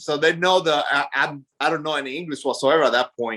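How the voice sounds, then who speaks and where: Speaking with a Spanish accent, a man uses a bright, sharp, animated tone at a moderate pace. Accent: Spanish accent, still noticeable. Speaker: army veteran and business owner. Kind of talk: interview.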